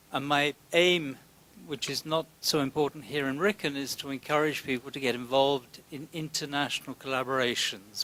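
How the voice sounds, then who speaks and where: Noticeable background noise sits under a man's voice. He talks at a moderate pace with fairly even intonation. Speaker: science funding program representative. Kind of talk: lecture.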